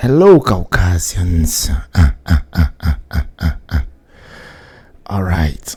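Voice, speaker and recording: A man with a very deep, low pitch and a dark, mellow tone talks at a very slow pace, with long, frequent pauses, vocal fry and lively intonation. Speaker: live streamer reacting to videos. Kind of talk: live reaction commentary. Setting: live stream. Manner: loud; animated.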